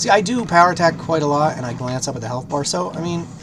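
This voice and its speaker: The speech is very fast with lively intonation. Noticeable background noise and audible room echo are present. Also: man. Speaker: gaming YouTuber. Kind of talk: gameplay commentary. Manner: casual, rambling.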